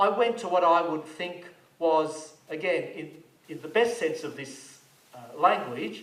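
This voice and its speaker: A man talks at a moderate pace with ordinary pitch variation. Noticeable background noise and audible room echo fill the recording. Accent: Australian. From Australia, Melbourne. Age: 60s. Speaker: archbishop. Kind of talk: public talk. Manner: measured, conversational.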